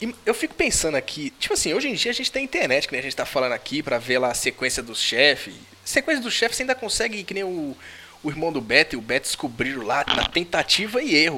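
Over noticeable background noise, the speaker talks at a very fast pace with very wide pitch swings. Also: man, fairly high pitch for a man. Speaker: podcast host. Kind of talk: casual chat.

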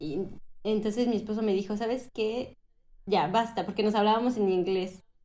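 Audible room echo surrounds a woman speaking with a Mexican accent. Her tone is dark and mellow, with ordinary pitch variation. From Mexico, Cancún (born Mexico City, moved at 11). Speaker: Mexican expat living in France. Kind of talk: casual interview chat.

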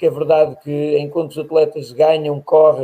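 His tone is dark and mellow. The man's pitch sits fairly high. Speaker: podcast host, athletics. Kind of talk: casual interview chat.

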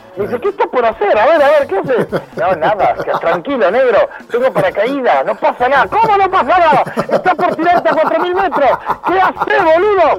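At a moderate pace, the voice makes very wide pitch swings while keeping very even loudness, with noticeable background noise. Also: man, extremely high pitch for a man. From Argentina (Buenos Aires area), born in Venezuela. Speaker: psychologist. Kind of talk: casual interview.

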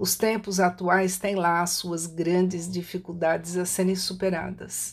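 A woman's medium-pitched, normal speaking voice at a fairly slow pace, in a very clean recording with a silent background. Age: 60s. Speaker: writer and holistic therapist. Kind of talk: prepared reflective talk. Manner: fluent.

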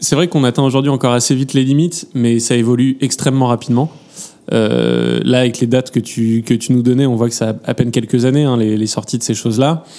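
At a fairly quick pace, a man of medium pitch talks in a dark, mellow tone with fairly even intonation. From France. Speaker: AI entrepreneur. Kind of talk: panel discussion.

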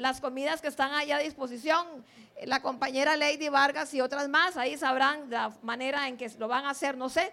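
A woman's raised, projected voice, high-pitched, bright and sharp in tone, with fairly even intonation. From Limón, Costa Rica (born in Guanacaste). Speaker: school principal. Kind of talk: speech to students at school assembly. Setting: school assembly.

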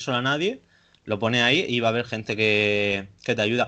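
With a bright, sharp tone, a man speaks at a moderate pace against a quiet background. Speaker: podcast host. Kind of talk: casual interview. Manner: halting.

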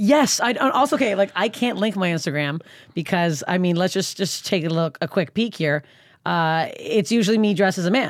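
A woman with a Canadian accent talks in a normal speaking voice at a fairly quick pace and medium pitch. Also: lively intonation, very even loudness. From Canada. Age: 30s. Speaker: stand-up comedian. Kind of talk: casual chat.

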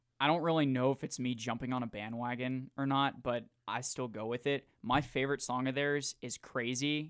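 In an American accent, a man with an ordinary speaking voice talks at medium pitch with fairly even intonation, the sound dry and close with no echo on a very clean recording with a silent background. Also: hardly any pauses. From Jacksonville, Florida. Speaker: sports radio host, broadcasting intern. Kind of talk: casual interview chat; scripted radio intro. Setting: radio studio.

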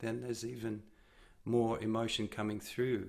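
This is a man with a medium pitch. His intonation is monotone and flat. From Australia. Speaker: singer-songwriter. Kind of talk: interview conversation.

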